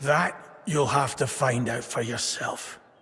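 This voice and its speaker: A man's put-on character voice, raspy, medium-pitched, at a fairly slow pace. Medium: video game. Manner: hesitant, soft-spoken.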